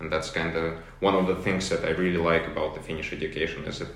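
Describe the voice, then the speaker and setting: A man with a Russian accent speaks very fast in a very deep, low pitch with monotone, flat intonation. Audible room echo and noticeable background noise surround him. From Russia, St. Petersburg. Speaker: university student. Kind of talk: interview.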